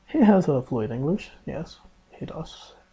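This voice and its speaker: Someone with a Spanish accent talks at a very slow pace. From Mexico. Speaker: exchange student vlogger. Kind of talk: casual video diary. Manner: halting, with fillers and restarts.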